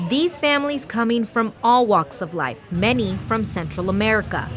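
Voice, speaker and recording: Music plays in the background as a woman speaks at a moderate pace. Her pitch is medium, and her intonation is lively. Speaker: TV news reporter. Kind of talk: TV news reporter stand-up and voiceover.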